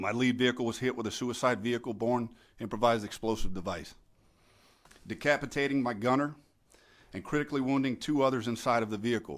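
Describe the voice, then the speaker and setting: A man at medium pitch talks very fast yet with long, frequent pauses, his pitch varying in an ordinary way on a very clean recording with a silent background. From Louisiana, Belle Chasse near New Orleans. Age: 40s. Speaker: war veteran. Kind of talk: testimony. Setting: committee hearing. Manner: formal.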